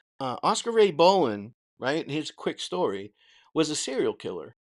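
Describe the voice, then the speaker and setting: With an American accent, a man talks at a moderate pace in a fairly high pitch, his voice swinging very widely and showing vocal fry, on a very clean, silent-background recording that sounds dry and close with no echo. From Boston. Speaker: former corrections officer, livestream host. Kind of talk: livestream commentary. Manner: animated.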